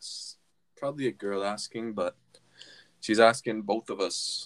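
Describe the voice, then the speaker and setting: A man speaks at a medium pitch and a fairly slow pace. The sound is dry and close, with no echo. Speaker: podcast host. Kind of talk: casual chat. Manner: animated.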